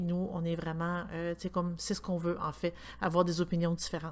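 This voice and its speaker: Speaking at a moderate pace, a woman with a Quebec accent has a fairly low pitch. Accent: Québécois French. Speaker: podcast co-host. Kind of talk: casual chat.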